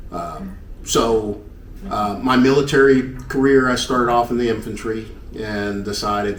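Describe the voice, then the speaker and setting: A man with a Southern US accent at a moderate pace and ordinary pitch variation, amid noticeable background noise and audible room echo. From US South, Knoxville, Tennessee. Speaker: retired army helicopter pilot. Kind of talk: casual interview.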